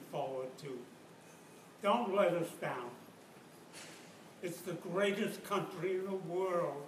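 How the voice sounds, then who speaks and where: In a room with audible echo and noticeable background noise, a man talks at a high pitch with ordinary pitch variation. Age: 80s+. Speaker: war veteran. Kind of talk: talk to students. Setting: university classroom.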